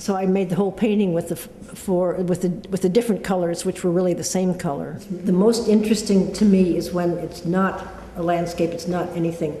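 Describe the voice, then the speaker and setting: Fairly quick, monotone, flat speech in an American accent with hardly any pauses, over noticeable background noise. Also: woman, medium pitch for a woman. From US Pacific Northwest, Tacoma, Washington. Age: 70s. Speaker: painter. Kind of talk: interview monologue about her work. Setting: artist's studio. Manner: halting, many fillers and restarts.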